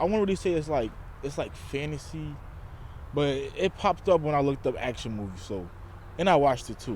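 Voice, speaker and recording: This man's voice sits fairly high in pitch. It moves in very wide pitch swings. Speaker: YouTuber reviewing movies. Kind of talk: casual vlog commentary. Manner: casual, halting with fillers.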